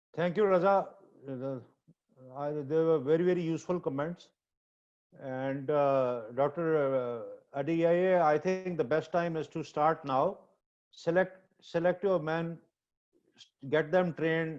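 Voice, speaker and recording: With a strong non-native accent, a man speaks at a fairly slow pace, leaving long, frequent pauses. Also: fairly high pitch for a man, fairly even intonation. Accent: heavy accent in English. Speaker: surgeon and professor. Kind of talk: webinar discussion.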